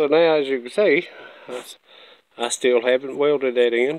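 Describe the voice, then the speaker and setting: A man's moderately paced speech with ordinary pitch variation and a dry sound with no echo. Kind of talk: tutorial. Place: workshop. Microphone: phone near.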